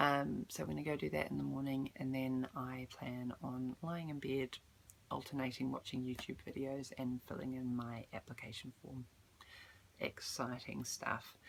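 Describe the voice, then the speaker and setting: A woman with a New Zealand accent speaks in a very deep, low pitch. Her pace is moderate and her pitch variation ordinary. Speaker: vlogger. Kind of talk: casual vlog update. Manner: hesitant, many ums.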